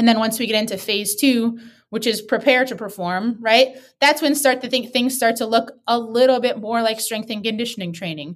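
A woman with an American accent speaks in a plain, everyday voice at a moderate pace. Her pitch is fairly high, with ordinary variation. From US Midwest, Wisconsin. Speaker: sports physical therapist. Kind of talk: interview.

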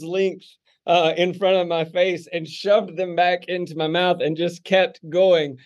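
A man's loud, high-pitched voice with an American accent, against a quiet background. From US South, Texarkana, Arkansas. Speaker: pastor. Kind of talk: casual interview.

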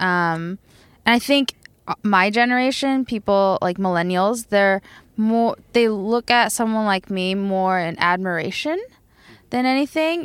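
An American accent at a fairly slow pace with ordinary pitch variation, in a very clean recording with a silent background. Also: woman. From Tokyo, Japan and US. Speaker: band member and DJ. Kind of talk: casual interview chat.

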